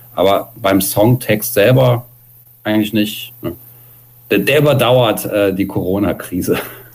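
Noticeable background noise fills the clip. Through it, a man talks at a fairly slow pace. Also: fairly even intonation. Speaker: punk musician. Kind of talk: interview. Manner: loud.

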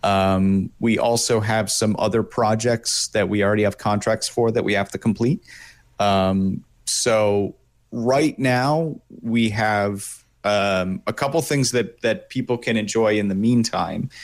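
In an ordinary speaking voice, a man with an American accent speaks at a fairly slow pace with medium pitch, fairly even intonation and very even loudness, on a very clean recording with a silent background. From New York State, US. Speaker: voice actor and illustrator. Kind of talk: interview. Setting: studio.

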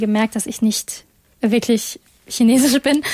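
A woman's fairly high voice moves at a moderate pace, somewhat breathy with a dark, mellow tone. The sound is dry and close, with no echo. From Germany, Essen (Ruhr area), Chinese family. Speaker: campus radio host. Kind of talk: casual talk show discussion.

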